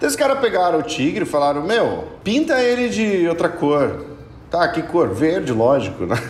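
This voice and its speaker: A high-pitched man at a moderate pace, with very wide pitch swings and very even loudness, amid audible room echo and noticeable background noise. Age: 30s. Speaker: podcast guest, fan expert. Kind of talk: casual chat.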